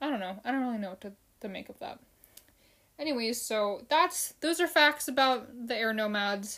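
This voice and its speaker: A bright, sharp voice with an American accent, lively intonation, big swings in loudness and a moderate pace, in a very clean recording with a silent background. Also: woman, high pitch for a woman. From United States (Filipino family). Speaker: podcast host, fan show. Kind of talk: solo casual podcast, episode recap. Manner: casual, with fillers and repetitions.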